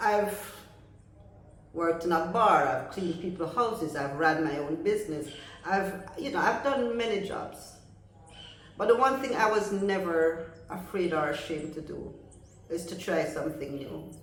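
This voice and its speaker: A woman with a fairly low pitch speaks at a moderate pace with lively intonation over noticeable background noise. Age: 60s. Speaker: content creator. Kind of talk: casual talk to camera.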